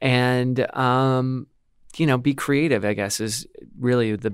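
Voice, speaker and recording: A man with an American accent, medium pitch and fairly even intonation. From Milwaukee, Wisconsin. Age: 30s. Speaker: radio host. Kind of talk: interview.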